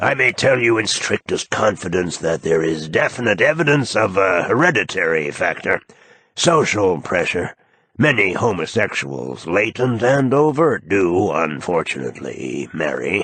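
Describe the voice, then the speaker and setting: A man uses a robotic, put-on character voice, fairly low in pitch. It has very wide pitch swings at a moderate pace. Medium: read story. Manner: condescending, clinical.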